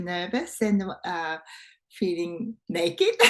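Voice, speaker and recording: Her voice is somewhat breathy. The woman is heard against a quiet background. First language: not English. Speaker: photographer. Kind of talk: interview answer. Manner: hesitant, many fillers.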